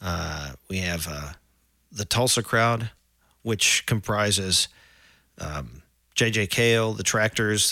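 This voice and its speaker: A man with an American accent, fairly low in pitch with a bright, sharp tone, at a very slow pace on a very clean recording with a silent background. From Oklahoma, Edmond. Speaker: musician and songwriter. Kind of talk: casual interview.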